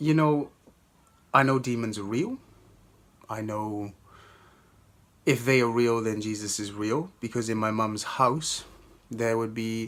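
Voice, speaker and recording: With a Welsh accent, a man speaks at a medium pitch and a fairly slow pace. His intonation stays fairly even, with long, frequent pauses. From Wales. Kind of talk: testimony. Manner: halting, many fillers.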